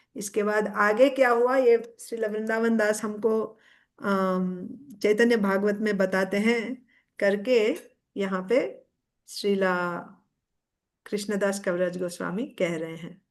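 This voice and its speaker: A woman at medium pitch with fairly even intonation, over a quiet background. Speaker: religious speaker. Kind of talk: scripture discourse. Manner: halting, with fillers.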